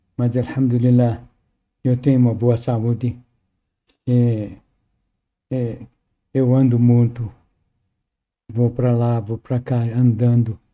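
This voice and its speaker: In a dark, mellow tone, a man at medium pitch talks at a very slow pace with monotone, flat intonation and long, frequent pauses. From Lebanon. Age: 80s+. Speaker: Quran translator, professor. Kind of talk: podcast interview.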